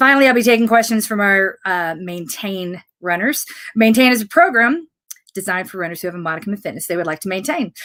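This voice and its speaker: In a very clean recording with a silent background, a woman talks at a very fast pace with a medium pitch, lively intonation and a bright, sharp tone. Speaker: running coach and fitness program founder. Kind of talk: live Q and A broadcast.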